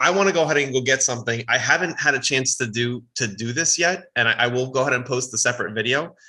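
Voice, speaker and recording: A man with an American accent talks very fast at medium pitch, with lively intonation and hardly any pauses. Noticeable background noise runs underneath. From East Coast United States.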